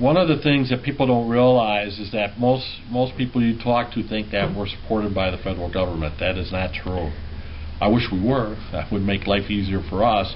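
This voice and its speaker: With light background noise, a man uses an ordinary speaking voice, fairly low in pitch, with ordinary pitch variation at a moderate pace. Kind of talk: interview answer. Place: office. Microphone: camera far.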